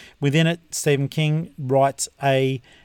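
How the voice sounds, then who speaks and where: An Australian-accented man speaks at medium pitch with fairly even intonation, the sound dry and close with no echo. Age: 50s. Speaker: podcast host and book reviewer. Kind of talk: casual solo review monologue.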